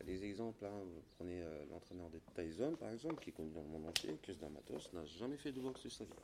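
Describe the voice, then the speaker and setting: A man talks at a fairly quick pace with hardly any pauses. His intonation is lively. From Gabon. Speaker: former pro Muay Thai boxer and gym owner. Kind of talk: interview. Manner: hesitant, repeats words.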